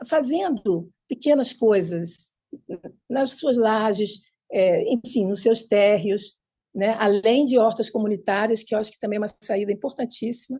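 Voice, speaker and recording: Speaking at a fairly slow pace, a woman has a fairly high pitch. Her voice is somewhat breathy. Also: ordinary pitch variation. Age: 80s+. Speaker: urban gardening activist. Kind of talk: panel discussion. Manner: halting.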